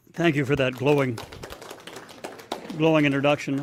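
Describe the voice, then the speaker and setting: A man with a Canadian accent and a fairly high pitch speaks over noticeable background noise. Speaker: political speaker. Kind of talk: public speech. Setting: stage with audience.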